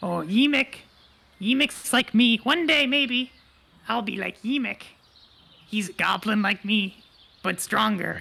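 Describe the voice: Fairly slow and fairly high in pitch, the speaker uses a put-on character voice.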